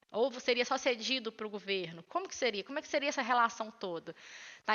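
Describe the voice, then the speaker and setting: Her pitch is fairly high and varies in an ordinary way. The woman talks at a fairly quick pace. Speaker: lecturer. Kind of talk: lecture. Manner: fast.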